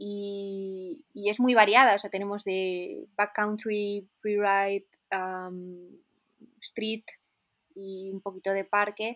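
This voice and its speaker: In a Spanish accent, a woman of medium pitch speaks at a very slow pace with monotone, flat intonation. Her loudness swings widely against a quiet background. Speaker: snowboarder. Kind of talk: interview.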